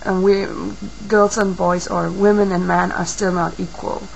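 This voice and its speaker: A woman speaks at medium pitch. Room echo is audible, and background noise is noticeable. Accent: non-native. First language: not English. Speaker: video blogger. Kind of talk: video response monologue. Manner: halting, many fillers.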